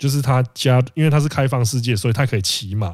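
A man with a Taiwanese accent speaks at a medium pitch and a fairly quick pace, his intonation lively. The recording is very clean, with a silent background. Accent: Taiwanese Mandarin. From Penghu, Taiwan. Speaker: podcast co-host. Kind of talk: casual chat.

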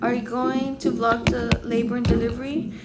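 Loud background noise runs beneath a woman's speech. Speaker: expectant mother vlogger. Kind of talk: casual vlog chat. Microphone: phone near.

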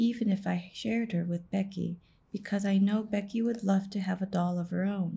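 An unforced reading voice carries ordinary pitch variation from start to finish.

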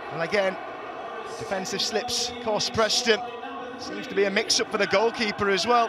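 Speaking in a raised, projected voice with a British accent, a man with a high pitch and ordinary pitch variation keeps a moderate pace broken by long, frequent pauses, over noticeable background noise. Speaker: football commentator. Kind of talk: live football commentary over match highlights. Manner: animated; fluent.

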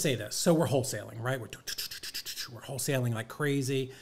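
A man talks in an animated tone with ordinary pitch variation. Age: 50s. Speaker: real estate investor and coach; coach. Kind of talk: casual interview. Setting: studio, in person. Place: studio. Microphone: studio mic.

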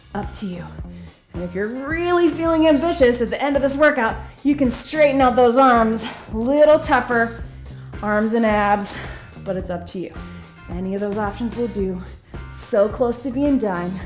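Faint music plays in the background as a woman speaks at a moderate pace. Her loudness swings widely, and she leaves long, frequent pauses. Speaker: fitness instructor. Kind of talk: workout instruction. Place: gym.

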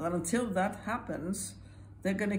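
Vocal fry in a woman's fairly low voice, very wide pitch swings, moderate pace, light background noise. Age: 80s+. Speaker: Holocaust survivor. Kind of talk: interview answer. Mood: earnest, urgent. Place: home room. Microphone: phone near.

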